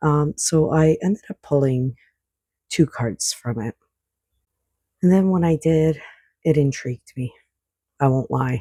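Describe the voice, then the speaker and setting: The voice is quiet and fairly slow, with long, frequent pauses. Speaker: oracle card reader. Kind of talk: spiritual card reading. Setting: at home at night. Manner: quiet, indoor voice; casual, hesitant with fillers.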